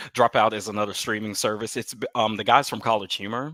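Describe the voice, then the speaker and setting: A fairly low male voice with a slight Southern accent and a bright, sharp tone, dry and close with no echo on a very clean, silent recording. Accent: flattened, little Southern. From US South. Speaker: comedy video creator. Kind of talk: casual chat. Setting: livestream.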